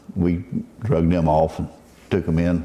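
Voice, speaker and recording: A man talks at a moderate pace with a Southern US accent. His pitch is very deep and low. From Southwest Florida. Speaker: commercial net fisherman. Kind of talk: oral history interview answer.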